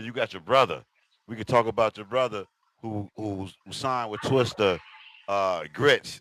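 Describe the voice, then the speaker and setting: A man at medium pitch and moderate pace, with big swings in loudness, in a dry, close sound with no echo. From Chicago, west side. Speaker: podcast host. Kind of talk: casual interview chat.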